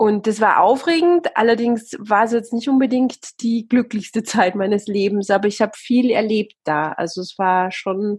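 Fairly high, somewhat breathy female speech, fairly slow, with ordinary pitch variation. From Austria. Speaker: TV presenter and author. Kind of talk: casual interview.

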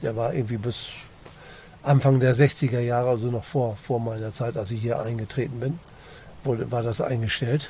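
A man at a medium pitch, somewhat breathy, fairly even intonation, long, frequent pauses throughout. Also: moderate pace. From East Frisia, northern Germany. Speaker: local resident met on a hike. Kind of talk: casual interview.

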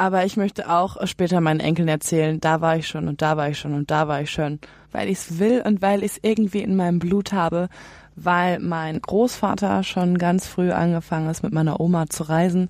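A woman's ordinary speaking voice, fairly low in pitch with ordinary pitch variation, at a moderate pace in a very clean recording with a silent background. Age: 20s. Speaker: trainee and van traveller. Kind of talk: interview.

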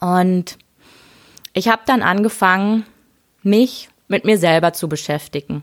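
Woman at a fairly slow pace with a medium pitch, ordinary pitch variation and long, frequent pauses, in a dry, close sound with no echo. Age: 30s. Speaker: podcast host and leadership coach. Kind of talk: solo podcast monologue. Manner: casual, conversational with fillers.

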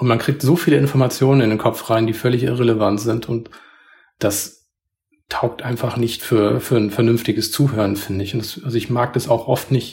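This man has a medium pitch and a somewhat breathy voice. His intonation is fairly even and his pace moderate. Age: 40s. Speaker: podcast co-host. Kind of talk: casual chat. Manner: calm, composed.

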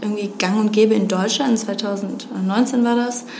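A woman speaks at a fairly slow pace, her pitch fairly high and her intonation fairly even. The room echo is audible, and background noise is noticeable. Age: 20s. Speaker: gender equality consultant. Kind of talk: interview.

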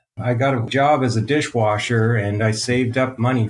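In a Canadian accent, a man talks at a medium pitch with fairly even intonation. His voice is somewhat breathy. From Canada. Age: 50s. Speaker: game developer. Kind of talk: interview.

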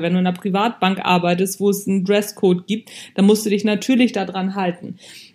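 On a very clean recording with a silent background, a dark, mellow tone comes through at a moderate pace. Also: woman. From Hamburg, northern Germany. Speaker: podcast host, leadership coach. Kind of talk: motivational monologue. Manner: casual, conversational.

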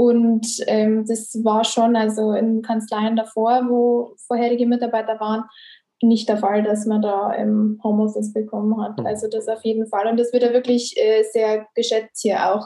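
With monotone, flat intonation, a woman talks at a fairly high pitch. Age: 20s. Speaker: office employee, recruiting. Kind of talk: interview.

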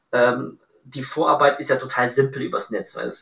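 A man with a plain, everyday voice, fairly high in pitch, at a moderate pace with fairly even intonation. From Bavaria, Augsburg. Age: 30s. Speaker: entrepreneur, event decor business founder. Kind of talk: podcast interview.

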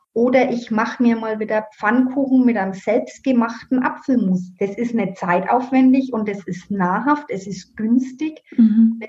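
Speaking in a Franconian accent, a woman talks at a fairly high pitch with ordinary pitch variation. Her pace is fairly slow, with hardly any pauses. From Middle Franconia, Germany. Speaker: herbal educator and home economist. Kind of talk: interview.

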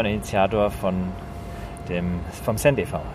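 A man with a Franconian accent at a very slow pace, amid noticeable background noise and audible room echo. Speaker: podcast host. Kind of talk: casual chat. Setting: outdoors on a rooftop terrace.

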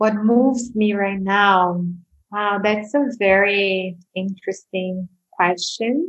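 Here a woman talks at a very slow pace. Her pitch is medium, with ordinary variation. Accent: Portuguese. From Brazil, Sao Paulo. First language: Portuguese. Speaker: mindfulness teacher. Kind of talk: casual interview.

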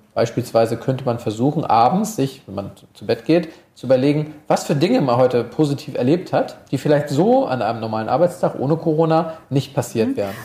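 A man's plain, everyday voice, fairly high in pitch, at a fairly quick pace with lively intonation. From Hamburg, northern Germany. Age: 30s. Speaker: sports psychologist. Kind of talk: interview.

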